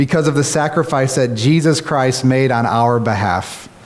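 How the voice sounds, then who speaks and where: A man with an American accent at a fairly slow pace, ordinary pitch variation, audible room echo and noticeable background noise. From Kentucky, US. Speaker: pastor. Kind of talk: prayer; sermon. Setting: church.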